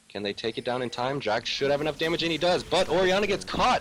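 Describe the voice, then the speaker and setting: Very wide pitch swings from a man, with noticeable background noise behind him. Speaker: esports commentator. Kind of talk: live commentary. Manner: fast; animated.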